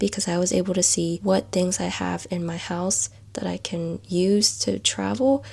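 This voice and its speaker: A woman is speaking. She is whispering. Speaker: lifestyle vlogger. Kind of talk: casual vlog talk.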